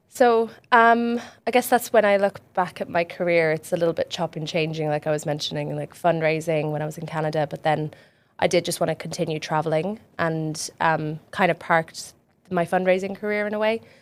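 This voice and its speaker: On a very clean recording with a silent background, a woman with an Irish accent speaks fairly quickly at a fairly low pitch with ordinary pitch variation. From west coast of Ireland. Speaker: charity fundraiser. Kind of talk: casual podcast interview.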